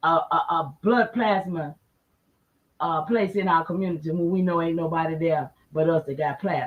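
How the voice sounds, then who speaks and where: An animated, somewhat breathy woman's voice. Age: 60s. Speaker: livestream host. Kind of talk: livestream monologue.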